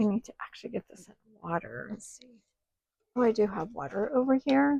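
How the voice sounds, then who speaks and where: Her voice is somewhat breathy with a dark, mellow tone, and this woman speaks at a fairly high pitch. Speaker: crafting YouTuber. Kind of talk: tutorial. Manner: casual, thinking aloud.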